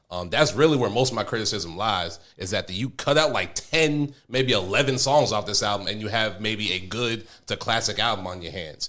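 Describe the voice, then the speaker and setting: A loud man speaks at a fairly low pitch in a bright, sharp tone, with lively intonation and hardly any pauses. The recording is very clean and the background silent. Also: moderate pace. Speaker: podcast host. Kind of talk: casual chat.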